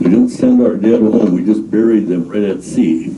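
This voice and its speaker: A man is speaking over noticeable background noise. Room echo is audible too. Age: 90s. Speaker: war veteran. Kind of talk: personal testimony talk. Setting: library presentation with audience. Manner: halting, many fillers.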